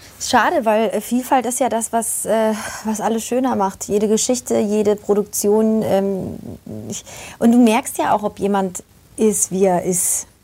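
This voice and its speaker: A woman speaks fairly slowly with a fairly high pitch, a dark, mellow tone and fairly even intonation. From Germany, Polish family. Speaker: actress and voice actor. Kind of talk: casual chat. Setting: live video stream.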